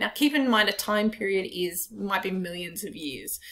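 A woman speaking at a moderate pace. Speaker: biology teacher. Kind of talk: lecture. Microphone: webcam.

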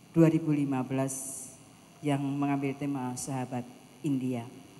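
Her voice is very deep and low, with monotone, flat intonation. The woman keeps a moderate pace over light background noise. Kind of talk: formal event announcement. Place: hall. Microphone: handheld.

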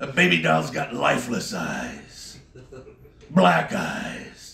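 A man's very slow speech, with audible room echo and light background noise. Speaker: stand-up comedian. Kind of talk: stand-up comedy set. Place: bar.

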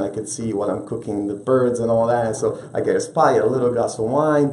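A man talking at a very fast pace, with audible room echo. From Italy, Rome. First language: Italian. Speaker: restaurant owner; guest. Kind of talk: interview. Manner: animated. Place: studio.

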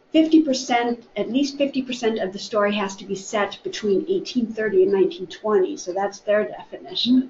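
A woman with an American accent speaks at a fairly high pitch and a fairly slow pace, with hardly any pauses. Her pitch swings very widely, her loudness shifts a lot, and light background noise is present. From US Midwest. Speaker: library staff member. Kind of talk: book discussion. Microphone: webcam.

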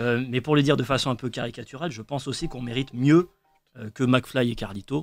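A man talks at a very fast pace with ordinary pitch variation and big swings in loudness. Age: 20s. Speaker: trainee lawyer; radio guest. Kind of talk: radio panel discussion. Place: studio. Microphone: studio mic.

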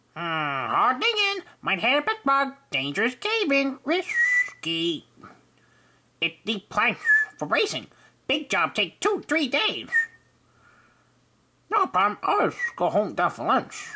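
A high, female-sounding cartoonish character voice speaks at a fairly slow pace. Long pauses come often. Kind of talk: cartoon character audition. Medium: voice reel.

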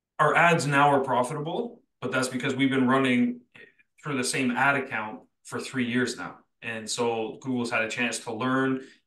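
A man with a bright, sharp tone talks at a moderate pace amid audible room echo. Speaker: podcast co-host and detailing software company founder. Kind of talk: casual chat. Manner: animated. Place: home room. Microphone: video call.

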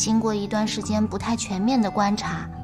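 Clear music can be heard in the background. Over it, a woman talks at a fairly slow pace. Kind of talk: acted drama dialogue. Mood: playful, teasing. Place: home room.

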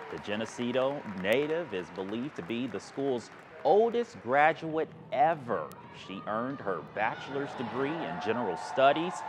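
The pitch swings very widely. There is noticeable background noise. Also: man. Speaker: TV news anchor. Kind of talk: local TV news anchor read.

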